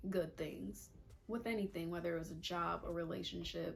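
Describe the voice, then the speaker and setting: A woman talks at a fairly low pitch. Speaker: lifestyle vlogger. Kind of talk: casual advice monologue. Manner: fast.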